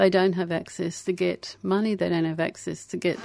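A woman speaks at a moderate pace in an Australian accent. Her voice sits at a medium pitch with fairly even intonation. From Australia (Brisbane, Queensland), born in England to Irish parents. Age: 60s. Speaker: anarchist activist. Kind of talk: casual interview chat. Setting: radio studio.

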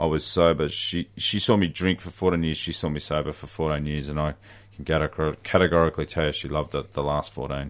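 Against a quiet background, a man with an Australian accent talks very fast in a very deep, low voice with fairly even intonation. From country Victoria, Australia. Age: 40s. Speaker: recovering alcoholic. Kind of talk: personal testimony. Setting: radio studio.

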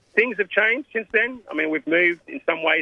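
A man speaks with an Australian accent. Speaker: community organisation president. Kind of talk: interview.

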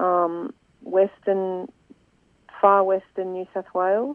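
Her medium-pitched voice carries an Australian accent as the woman speaks. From Swan Hill, northern Victoria, Australia. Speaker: environmental campaigner. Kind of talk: radio interview.

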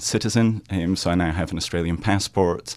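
On a very clean recording with a silent background, a man with a Scottish accent speaks at a very deep, low pitch. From Scotland, Aberdeen. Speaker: author. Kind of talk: radio interview. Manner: halting.

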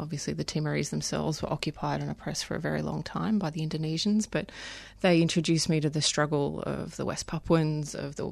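A woman with an Australian accent talks at a fairly quick pace over a quiet background. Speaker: human rights lawyer. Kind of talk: interview. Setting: studio.

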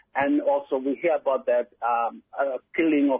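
A man's pitch rises and falls in an ordinary way as he talks rather slowly. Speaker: West Papuan activist and musician. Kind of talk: interview answers.

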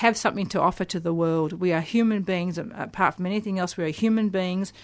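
At a fairly quick pace, a woman with a normal speaking voice and medium pitch talks with fairly even intonation against a quiet background. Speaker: poet and author. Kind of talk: interview with poetry readings. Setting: studio.

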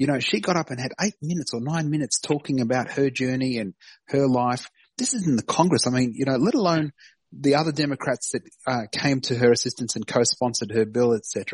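Speaking at a fairly quick pace with an Australian accent, a man with a medium pitch and ordinary pitch variation sounds somewhat breathy, in a dry, close sound with no echo against a quiet background. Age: 50s. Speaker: Palestine advocacy activist. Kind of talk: casual interview. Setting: phone call.

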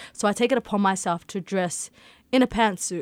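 With a plain, everyday voice, a woman speaks at a medium pitch and moderate pace in a very clean recording with a silent background and a dry, close sound with no echo. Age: 20s. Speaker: school social support worker. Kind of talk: radio interview.

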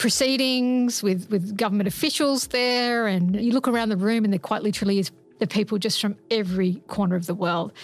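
A woman's medium-pitched voice in an Australian accent, at a moderate pace with ordinary pitch variation. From Australia, Sydney. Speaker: climate scientist. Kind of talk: documentary narration.

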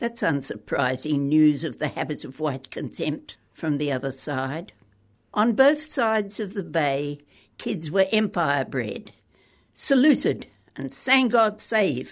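An Australian accent at a very slow pace, very wide pitch swings, and a quiet background. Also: woman. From Queensland, Australia. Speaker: poet. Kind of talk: interview; reading aloud.

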